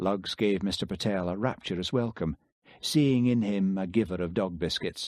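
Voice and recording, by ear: The speaker is reading aloud in a natural voice, with ordinary pitch variation and a quiet background.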